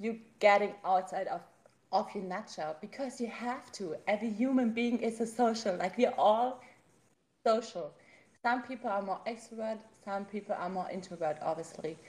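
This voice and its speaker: A woman speaks at a moderate pace with a German accent. Her fairly high voice is somewhat breathy, with ordinary pitch variation. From Germany. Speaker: podcast host. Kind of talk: casual interview.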